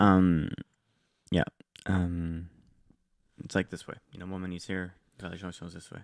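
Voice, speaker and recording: A man speaks at a moderate pace in a very deep, low pitch and a monotone, flat intonation. His loudness swings widely, and long, frequent pauses break it up. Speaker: podcast co-host. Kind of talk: casual chat. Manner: quieter than co-host.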